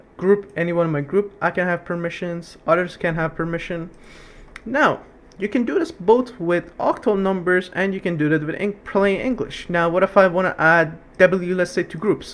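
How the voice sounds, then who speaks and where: A man speaks in a high pitch at a moderate pace, with ordinary pitch variation. There is noticeable background noise. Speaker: Linux tutorial instructor. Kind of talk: tutorial. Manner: casual, halting with restarts.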